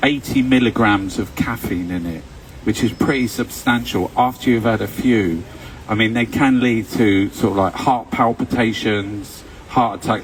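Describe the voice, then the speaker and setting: In a London accent, a man with a medium pitch speaks at a moderate pace with lively intonation, over noticeable background noise. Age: 60s. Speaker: vlogger. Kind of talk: casual monologue. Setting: live stream at home. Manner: rambling with fillers and hesitations.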